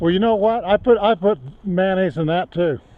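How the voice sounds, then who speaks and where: Pitch varies in an ordinary way while the delivery keeps a moderate pace. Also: man. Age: 70s. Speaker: hiker filming a trail vlog. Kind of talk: casual chat. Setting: outdoors.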